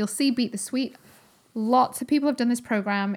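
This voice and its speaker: The recording is very clean, with a silent background. A woman speaks at a fairly quick pace, her voice somewhat breathy. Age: 30s. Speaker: podcast host and holistic nutritionist. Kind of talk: solo educational podcast monologue. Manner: animated.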